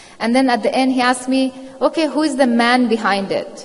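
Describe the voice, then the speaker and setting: Noticeable background noise sits behind a woman speaking at a fairly quick pace. She talks with an Afghan accent and ordinary pitch variation. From Afghanistan. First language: Dari. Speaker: journalist. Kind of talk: panel discussion.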